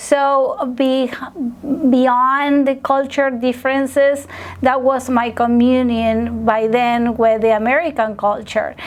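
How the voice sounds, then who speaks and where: A woman with a Spanish accent speaks in a high pitch at a very slow pace. Her intonation is monotone and flat, and her loudness stays very even. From Argentina, Buenos Aires. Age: 40s. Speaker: restaurant worker and farmer. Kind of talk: interview. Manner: halting, many fillers.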